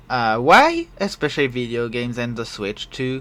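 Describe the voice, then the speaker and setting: A man with a French accent speaks at a moderate pace and medium pitch. His tone is bright and sharp, with lively intonation. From France. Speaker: podcast host and streamer. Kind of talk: casual solo podcast talk. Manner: hesitant, many fillers.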